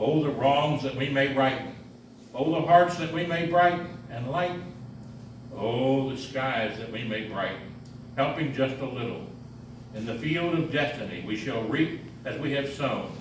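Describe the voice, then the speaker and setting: Amid noticeable background noise and audible room echo, a man speaks at a moderate pace with ordinary pitch variation and long, frequent pauses. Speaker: reader at a mission service. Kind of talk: devotional reading. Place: hall. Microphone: camera far.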